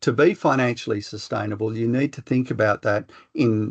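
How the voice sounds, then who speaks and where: A man with an Australian accent speaks at a medium pitch with ordinary pitch variation, the sound dry and close with no echo against a quiet background. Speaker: professor. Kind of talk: lecture. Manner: fast.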